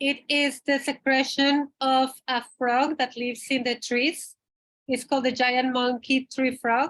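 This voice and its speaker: Her loudness stays very even throughout. This woman's high-pitched voice holds a monotone, flat intonation. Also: fairly slow pace. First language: not English. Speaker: retreat guide. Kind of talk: informational webinar. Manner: halting.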